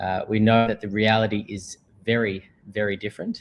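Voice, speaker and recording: A man speaks in an Australian accent, his fairly low voice held to a flat monotone. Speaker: company manager, sponsor speaker. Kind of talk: presentation. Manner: many filler words.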